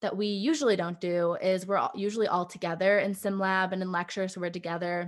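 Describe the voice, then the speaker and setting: A woman with an American accent speaks in a plain, everyday voice at a medium pitch. Her pace is fairly quick and her intonation fairly even against a quiet background. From Michigan, US. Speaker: dental student. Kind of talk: interview.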